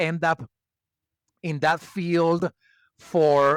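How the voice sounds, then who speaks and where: A man with a Venezuelan accent speaks very slowly in a high voice, with a dry, close sound and no echo. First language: Spanish. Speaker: HR expert and community builder. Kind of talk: podcast interview.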